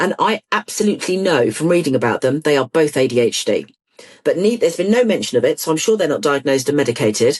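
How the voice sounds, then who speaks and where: Speaking very fast with a British accent, a woman uses a very deep, low pitch that swings very widely. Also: very even loudness. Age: 60s. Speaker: ADHD campaigner and author. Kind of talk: interview. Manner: animated.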